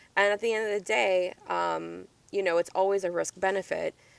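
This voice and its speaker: A woman with a plain, everyday voice speaks at a moderate pace and a fairly low pitch. The sound is dry and close, with no echo. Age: 20s. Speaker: podcast co-host. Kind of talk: casual chat.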